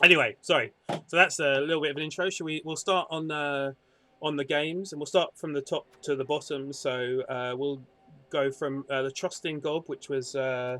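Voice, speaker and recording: A man with a British accent speaks at a fairly high pitch. His intonation stays fairly even, with music in the background. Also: moderate pace. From Britain. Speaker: gaming stream host. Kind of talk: casual podcast chat. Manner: halting, repeats words.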